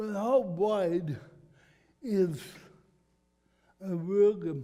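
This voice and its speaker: Audible room echo surrounds a dark, mellow tone with ordinary pitch variation. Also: man, high pitch for a man. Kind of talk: talk to a church group.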